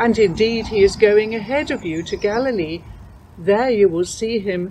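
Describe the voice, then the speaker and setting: At a fairly slow pace, a woman talks in a normal speaking voice of medium pitch with ordinary pitch variation. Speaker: scripture reader. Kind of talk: reading aloud.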